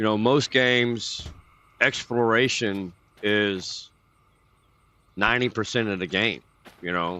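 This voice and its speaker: Speaking very slowly in a Texan accent, a man has a fairly low pitch and a bright, sharp tone. His pitch varies in an ordinary way, and he leaves long, frequent pauses. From Texas. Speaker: gaming streamer. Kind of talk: casual chat. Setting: livestream. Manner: casual.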